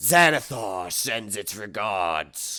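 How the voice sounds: Using a put-on character voice, a man sounds raspy at a fairly low pitch. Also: very clean recording, silent background.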